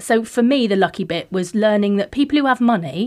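Spoken with a West Country accent, the voice shows ordinary pitch variation. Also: woman. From Devon, Plymouth area. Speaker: police and crime commissioner. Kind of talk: interview conversation. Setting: studio.

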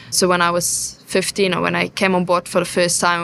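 A woman with a German accent talks at a moderate pace and medium pitch, her tone bright and sharp. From southeast Germany. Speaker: sail training watch leader. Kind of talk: interview on location. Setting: on board a moored ship.

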